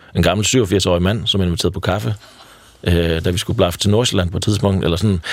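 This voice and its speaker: A man talks at a very fast pace. His voice is very deep and low. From Denmark, Triangle Region (Jutland). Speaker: founder of a hitchhiking community. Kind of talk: radio interview. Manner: hesitant, many fillers.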